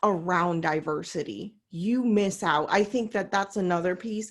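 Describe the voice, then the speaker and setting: A woman with an American accent speaks at a medium pitch in an unremarkable speaking voice. Her pace is fairly slow. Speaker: coach, panel host. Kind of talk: panel discussion. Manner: casual, many fillers.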